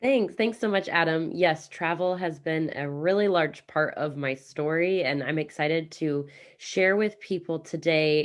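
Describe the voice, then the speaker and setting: A woman with an American accent and an unremarkable speaking voice talks at a moderate pace with hardly any pauses. Her pitch is fairly low, with ordinary variation. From US Midwest, Kansas City. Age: 30s. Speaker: real estate investment coach. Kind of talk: interview.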